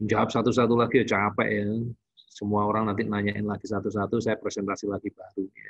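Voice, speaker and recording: A man speaks very fast in a fairly low voice, his intonation flat and monotone against a quiet background. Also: dry sound with no echo. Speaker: doctor giving online consultation to parents. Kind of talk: online presentation and Q&A. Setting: online session. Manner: casual, filler-heavy with frequent 'ya'. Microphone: video call.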